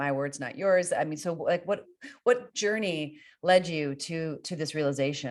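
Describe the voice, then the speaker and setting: A woman speaks with an American accent and a very deep, low pitch. Her intonation is lively and her pace fairly slow. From US, Northern Virginia. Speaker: podcast host. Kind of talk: interview.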